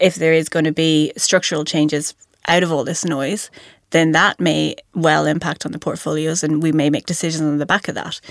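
A woman with a western Irish accent speaks at a fairly quick pace in a very deep, low, monotone voice. The sound is dry and close with no echo, on a very clean recording with a silent background. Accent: Irish, west of Ireland. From Ireland, County Mayo. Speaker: investment analyst. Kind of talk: casual professional discussion. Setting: studio.

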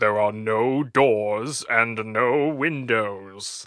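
A man puts on a character voice and talks at a very slow pace. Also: medium pitch for a man. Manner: spooky, eerie.

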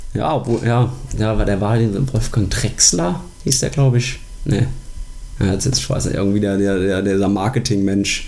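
Amid noticeable background noise and audible room echo, the speaker keeps a moderate pace, ordinary pitch variation and very even loudness. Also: man, fairly low pitch for a man. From Germany, Koblenz area. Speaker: sports podcast co-host. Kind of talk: casual chat.

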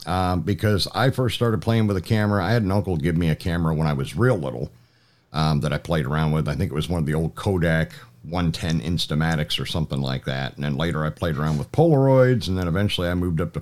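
A man with a very deep, low pitch talks at a very fast pace, his intonation lively. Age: 50s. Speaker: podcast host. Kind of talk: interview conversation; podcast outro.

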